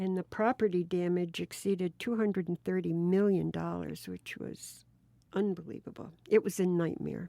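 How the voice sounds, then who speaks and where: Speaking at a moderate pace with an American accent, a woman has a fairly low pitch and a dark, mellow tone. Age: 70s. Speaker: retired teacher. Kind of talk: oral history interview. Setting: recorded interview with sister.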